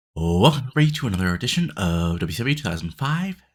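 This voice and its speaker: Somewhat breathy, a man speaks at a very fast pace with very wide pitch swings. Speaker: video game let's play narrator. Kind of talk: casual gameplay commentary. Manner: halting, many fillers.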